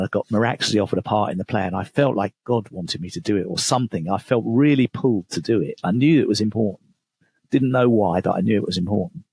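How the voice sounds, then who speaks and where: A man with an English accent at a very fast pace, lively intonation, and a dry, close sound with no echo. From England. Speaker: author and business coach. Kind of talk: podcast interview.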